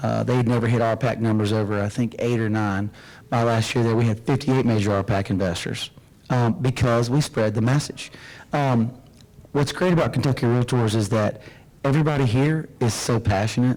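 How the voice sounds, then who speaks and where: Speaking in a Southern US accent, a man talks fairly quickly at medium pitch, with ordinary pitch variation and very even loudness. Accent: Southern twang. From Florida Panhandle. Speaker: realtor association executive. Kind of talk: interview.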